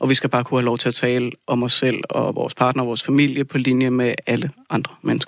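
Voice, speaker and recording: A man at a medium pitch, very fast, with hardly any pauses, very even loudness and monotone, flat intonation. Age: 30s. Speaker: lab technician and union rep. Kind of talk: radio studio discussion. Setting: radio studio.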